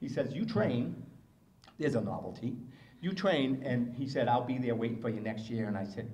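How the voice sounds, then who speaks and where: With an American accent, a man speaks at a medium pitch and a fairly quick pace, his dark, mellow tone somewhat breathy, with ordinary pitch variation and audible room echo. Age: 60s. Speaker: motivational speaker and marathon runner. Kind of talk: speech. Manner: animated.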